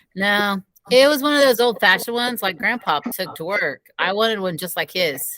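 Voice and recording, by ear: In a natural voice, text is read aloud over a quiet background.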